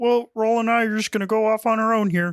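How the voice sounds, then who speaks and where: Very fast and fairly high, a put-on character voice rattles along. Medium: actual play. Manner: soft, hesitant, halting.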